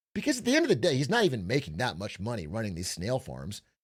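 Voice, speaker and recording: A very fast-talking man with vocal fry, on a very clean recording with a silent background. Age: 30s. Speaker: streamer. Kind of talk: casual stream commentary.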